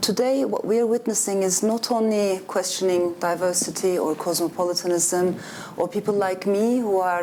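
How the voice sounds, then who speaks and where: Fairly even intonation and a moderate pace come through over noticeable background noise. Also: woman. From Turkey. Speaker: author. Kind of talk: panel discussion.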